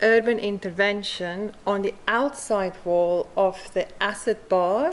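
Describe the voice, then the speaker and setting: A woman's medium-pitched voice in a South African accent, with ordinary pitch variation. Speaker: mosaic artist. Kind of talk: conference talk.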